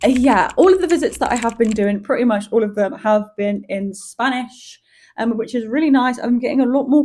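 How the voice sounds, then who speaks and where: With a British accent, a woman speaks at a moderate pace in a dark, mellow tone that is somewhat breathy. Her pitch varies in an ordinary way. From Malaga, southern Spain (raised by British family). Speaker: vlogger. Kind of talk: casual vlog talk to camera.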